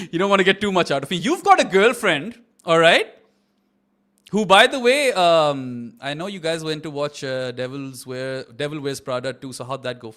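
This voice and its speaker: A man's fairly high voice with a bright, sharp tone, big swings in loudness, and a moderate pace. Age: 30s. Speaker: cricket watch-along host. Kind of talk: casual chat; live commentary. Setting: live stream.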